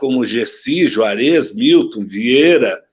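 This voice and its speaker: A man speaks at a fairly high pitch with vocal fry. His pitch swings very widely. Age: 70s. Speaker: former sports ministry official. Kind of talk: interview. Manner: halting.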